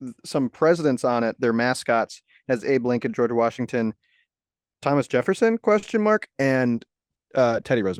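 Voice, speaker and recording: A man with an ordinary speaking voice at medium pitch, lively intonation, a moderate pace and a dry, close sound with no echo. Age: 20s. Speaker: podcast co-host. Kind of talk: casual chat. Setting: video call.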